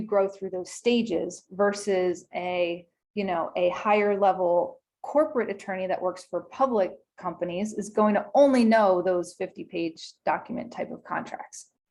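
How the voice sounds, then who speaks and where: Against a quiet background, a normal speaking voice moves at a moderate pace with ordinary pitch variation. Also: woman. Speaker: small business attorney. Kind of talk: webinar presentation. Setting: video call.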